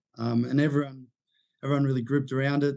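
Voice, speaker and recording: A man speaks with an Australian accent. His intonation is flat and monotone. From Sydney, Australia. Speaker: intern, social media worker. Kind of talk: casual sports podcast chat.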